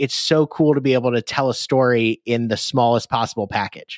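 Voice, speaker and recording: A man speaks in an ordinary speaking voice with an American accent, at a medium pitch and a fairly quick pace. His intonation is fairly even, and the sound is dry and close with no echo. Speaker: law professor. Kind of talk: interview. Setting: video call.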